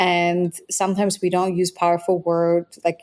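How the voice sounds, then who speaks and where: A woman talks at a fairly low pitch. Her tone is dark and mellow. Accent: Polish. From Poland. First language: Polish. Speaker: biohacking author. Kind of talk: podcast interview. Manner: animated.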